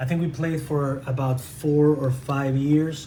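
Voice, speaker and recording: A man with a Spanish accent speaks at a fairly slow pace in a fairly high pitch and a flat monotone. Noticeable background noise and audible room echo fill the recording. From Venezuela. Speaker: tabletop game reviewer. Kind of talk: unboxing review. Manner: halting.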